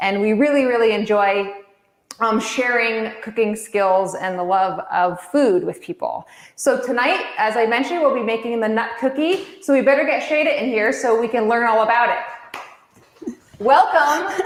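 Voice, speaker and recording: A woman speaks at a moderate pace with a fairly high pitch and lively intonation. Her tone is energetic, and room echo can be heard. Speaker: cooking class host. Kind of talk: livestream hosting. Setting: online livestream from a kitchen.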